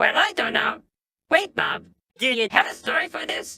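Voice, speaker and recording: A squeaky, cartoonish character voice at an extremely high pitch and a moderate pace. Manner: earnest, a bit goofy.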